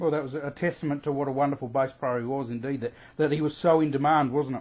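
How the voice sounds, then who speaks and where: In an Adelaide Australian accent, the speaker races along at a very fast pace with fairly even intonation. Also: man, fairly high pitch for a man. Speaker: radio interviewer. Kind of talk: interview. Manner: halting.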